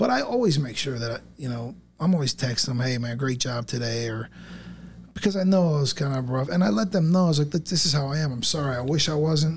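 In an American accent, the voice is somewhat breathy, moving at a fairly quick pace with ordinary pitch variation. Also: man, fairly high pitch for a man. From South Florida. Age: 40s. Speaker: business owner. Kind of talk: casual chat.

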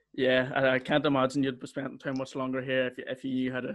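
Speaking in a Northern Irish accent, a man talks fairly quickly at a fairly high pitch. The background is quiet. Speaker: podcast host. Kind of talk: casual chat.

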